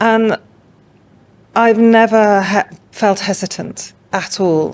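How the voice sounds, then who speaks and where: A woman talks with a slight English accent and fairly even intonation. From England. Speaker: art curator and consultant. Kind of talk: podcast interview.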